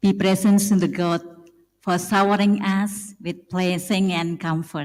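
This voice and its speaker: In an Indonesian accent, a woman talks at a very slow pace in a somewhat breathy voice. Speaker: school supervisor. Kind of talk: formal speech. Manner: halting.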